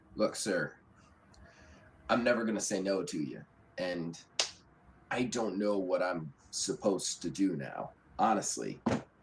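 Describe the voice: A man puts on a character voice, pitched low, with vocal fry and big pitch swings. He talks at a fairly slow pace with long, frequent pauses.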